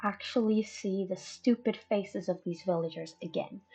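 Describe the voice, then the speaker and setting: A woman's somewhat breathy, dark and mellow voice at a fairly slow pace. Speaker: gaming YouTuber. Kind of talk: casual gameplay commentary.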